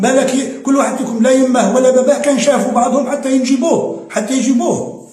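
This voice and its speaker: Amid noticeable background noise and audible room echo, a man speaks in an extremely high voice with monotone, flat intonation. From Algeria, Oran. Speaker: political commentator. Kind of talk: video monologue. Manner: halting, repeats words.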